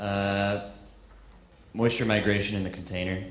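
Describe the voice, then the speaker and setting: Noticeable background noise and audible room echo surround speech delivered at a fairly slow pace. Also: man. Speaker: audience member. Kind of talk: audience question. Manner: halting.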